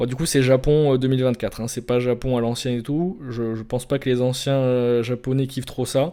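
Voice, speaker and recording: The voice has a dark, mellow tone and monotone, flat intonation. It moves at a moderate pace. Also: man. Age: 20s. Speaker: vlogger. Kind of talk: casual monologue. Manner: halting, many repetitions and fillers.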